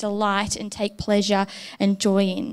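Fairly slow and fairly high-pitched, a woman speaks in a plain, everyday voice in a very clean recording with a silent background. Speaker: preacher. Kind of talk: sermon. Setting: church.

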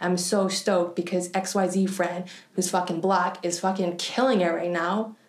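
The speech moves at a fairly slow pace in a monotone, flat intonation with very even loudness, over noticeable background noise. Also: woman, medium pitch for a woman. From Canada. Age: 30s. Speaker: artist. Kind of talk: casual interview conversation.

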